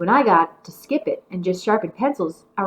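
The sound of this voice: The intonation is lively in an unforced reading voice.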